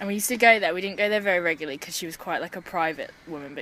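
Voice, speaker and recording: Speaking at a very fast pace with a British accent, a woman uses ordinary pitch variation over noticeable background noise. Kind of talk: personal story told to interviewer. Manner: casual, hesitant, many fillers.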